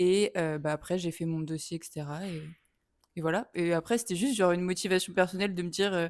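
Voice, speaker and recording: Speaking at a very fast pace with fairly even intonation, a woman's fairly low voice comes through a very clean recording with a silent background. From France. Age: 20s. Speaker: film student. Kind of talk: interview. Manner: hesitant.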